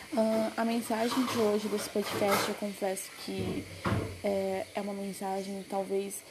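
Noticeable background noise sits behind a woman's medium-pitched voice. Her intonation is monotone and flat, her pace fairly slow. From Brazil, Pará. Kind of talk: devotional message.

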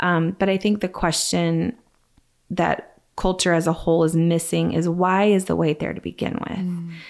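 Over a silent background in a very clean recording, a woman speaks in an ordinary speaking voice. Her pace is moderate and her intonation fairly even. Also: fairly low pitch for a woman. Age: 30s. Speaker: faith speaker. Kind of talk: casual chat.

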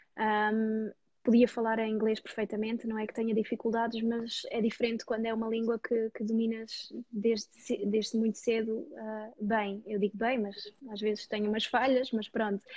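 A woman speaks at a moderate pace in a flat, monotone intonation. Her voice is somewhat breathy. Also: fairly high pitch for a woman. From Portugal, Dutch parents. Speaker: personal finance YouTuber. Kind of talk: interview.

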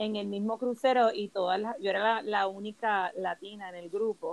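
At a fairly high pitch with ordinary pitch variation, a woman speaks at a moderate pace in a dry, close sound with no echo. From Puerto Rico. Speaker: yoga and holistic wellness instructor. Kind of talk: casual chat.

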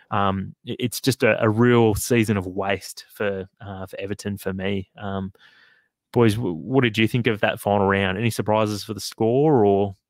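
Speaking with an Australian accent, a man has a fairly low pitch and fairly even intonation at a moderate pace. The very clean recording has a silent background and a dry, close sound with no echo. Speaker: football podcast host. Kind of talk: casual chat. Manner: halting, many fillers.

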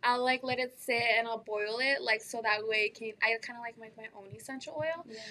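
Bright and sharp in tone, the voice moves at a fairly quick pace with hardly any pauses, ordinary pitch variation and big swings in loudness. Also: woman, fairly high pitch for a woman. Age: 20s. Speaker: cosmetics business owner. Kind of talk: casual interview. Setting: hair salon. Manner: animated.

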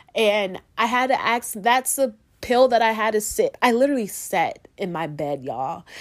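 Over a silent background in a very clean recording, a woman speaks at a moderate pace with vocal fry, a fairly high pitch and very wide pitch swings. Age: 20s. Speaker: podcast host. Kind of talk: personal monologue.

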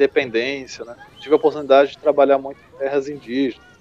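A man's voice amid noticeable background noise. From Brazil, Goiás (Chapada dos Veadeiros). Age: 30s. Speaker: agroforestry farmer and consultant. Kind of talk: interview. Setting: remote call.

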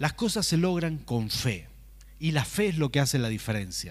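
Speaking at a fairly slow pace in a Rioplatense accent, a man with a fairly high pitch makes very wide pitch swings, with audible room echo around him. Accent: Argentine Rioplatense Spanish (voseo). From Argentina, Rafaela, Santa Fe. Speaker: pastor. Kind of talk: sermon.

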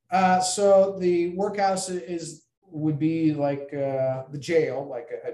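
A man talks at a very slow pace in a US Midwestern accent. His pitch is fairly high, with ordinary pitch variation. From Iowa, Ames. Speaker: federal law enforcement agent. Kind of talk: interview. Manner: halting, many fillers.

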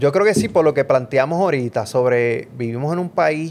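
A man talks at a very slow pace in a Puerto Rican accent. His intonation is lively. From Puerto Rico, Mayagüez. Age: middle-aged. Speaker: professor and podcast co-host. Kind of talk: casual political chat. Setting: home studio.

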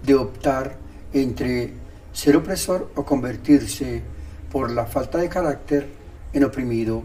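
A man speaks at a fairly slow pace in an unremarkable speaking voice. His pitch is fairly high, with ordinary pitch variation. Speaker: podcaster. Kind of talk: scripted narration.

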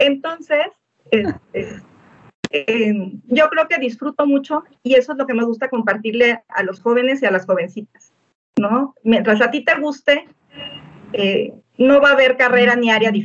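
A woman speaks at a fairly slow pace with a high pitch. Long pauses come often. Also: lively intonation. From Mexico, small mountain town. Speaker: physics professor. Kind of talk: interview.

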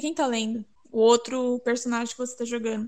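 A woman at a high pitch, speaking at a fairly quick pace. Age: 20s. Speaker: biomedicine graduate. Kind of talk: casual chat.

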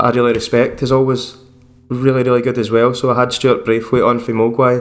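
With a Lanarkshire accent, a man talks at a medium pitch in a monotone, flat intonation. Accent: Scottish (Lanarkshire). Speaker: podcast host and bass player. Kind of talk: casual chat. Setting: video call.

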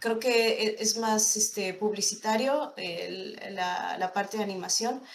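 Amid noticeable background noise and audible room echo, a woman speaks very slowly at a fairly high pitch with fairly even intonation. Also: hardly any pauses. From State of Mexico. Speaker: animator. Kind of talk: interview.

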